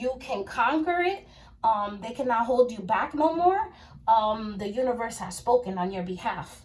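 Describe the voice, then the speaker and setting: A woman speaks in an animated tone with a fairly high pitch and lively intonation. Her loudness swings widely, and her pace is moderate. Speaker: tarot card reader. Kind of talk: tarot reading monologue. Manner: casual, animated.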